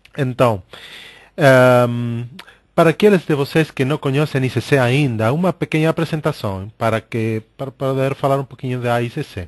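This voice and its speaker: A man's voice in a Spanish accent with ordinary pitch variation and a dry, close sound with no echo. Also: medium pitch for a man, moderate pace, quiet background. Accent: Spanish-accented Portuguese (portunhol). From Argentina. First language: Spanish (speaking Portuguese). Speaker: coaching organization director, webinar host. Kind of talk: webinar presentation. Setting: online webinar. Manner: hesitant, many filler sounds.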